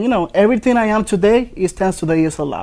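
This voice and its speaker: A man with a Dominican accent, ordinary pitch variation and a very fast pace. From Dominican Republic. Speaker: ESL program student. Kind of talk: interview.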